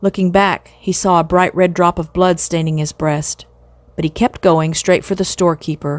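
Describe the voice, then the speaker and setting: A woman with an ordinary speaking voice, a fairly low pitch, fairly even intonation and a moderate pace. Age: 60s. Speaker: storyteller. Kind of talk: children's novel read aloud.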